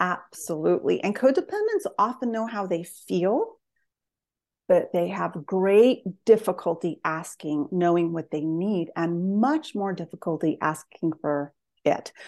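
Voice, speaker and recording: This woman speaks at a fairly slow pace with an American accent, using lively intonation at a medium pitch, in an ordinary speaking voice over a quiet background. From US Southwest, northern New Mexico. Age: 50s. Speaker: psychotherapist and author. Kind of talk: interview conversation.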